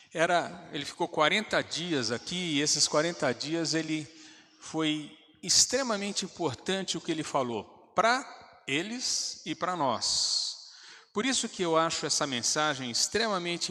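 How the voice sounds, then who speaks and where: Very slow in pace, a man with a fairly high pitch and a bright, sharp tone speaks with ordinary pitch variation. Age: 60s. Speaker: pastor. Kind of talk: sermon. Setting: church.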